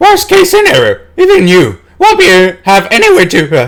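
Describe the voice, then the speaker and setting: Putting on a squeaky character voice, a man speaks at a moderate pace with an extremely high pitch. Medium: game stream. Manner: measured, solemn.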